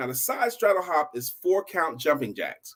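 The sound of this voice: A man speaks at a moderate pace with a fairly bright tone, fairly high pitch and big pitch swings.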